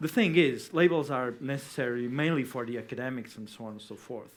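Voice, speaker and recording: At a moderate pace, a man speaks at a medium pitch with ordinary pitch variation. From Portugal. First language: Portuguese. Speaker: debate panelist. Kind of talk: debate. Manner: halting.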